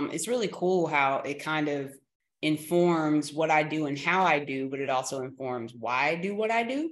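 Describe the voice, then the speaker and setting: Using lively intonation and an American accent, a woman speaks at a moderate pace with a very deep, low pitch. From North Carolina, Durham. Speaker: community organizer. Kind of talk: interview.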